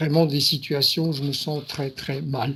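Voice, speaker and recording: Very slowly and in a monotone, flat intonation, a man speaks in a somewhat breathy voice at a fairly high pitch. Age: 60s. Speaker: client in a hypnosis session. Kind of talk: interview. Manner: halting.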